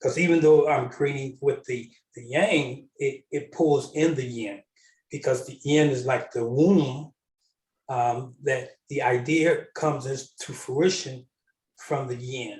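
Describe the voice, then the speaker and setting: A man speaks at a very slow pace, somewhat breathy, with fairly even intonation. His loudness swings widely. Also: fairly high pitch for a man. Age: 60s. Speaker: panel guest on spiritual discussion. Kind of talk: spiritual panel discussion. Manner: halting, many fillers.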